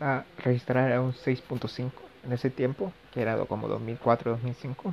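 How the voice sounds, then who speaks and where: A man with a medium pitch and fairly even intonation speaks at a very slow pace. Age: 20s. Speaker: podcaster, university physics student. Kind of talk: casual monologue. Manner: hesitant, many fillers.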